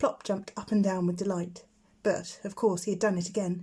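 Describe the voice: Her voice has a slightly mellow tone and a slightly husky edge, and she is a woman.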